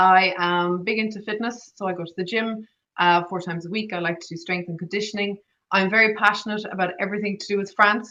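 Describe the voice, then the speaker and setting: Speaking at a fairly quick pace with an Irish accent, a woman has a bright, sharp tone, medium pitch and fairly even intonation. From Ireland. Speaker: agile coach and public speaker. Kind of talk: online presentation. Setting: online talk. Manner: fast.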